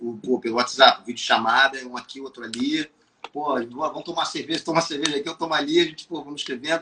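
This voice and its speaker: Speaking very fast, a man uses a fairly high voice with a bright, sharp tone. His loudness swings widely while his intonation stays fairly even. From Brazil, city-raised. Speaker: musician and songwriter. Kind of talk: casual interview chat.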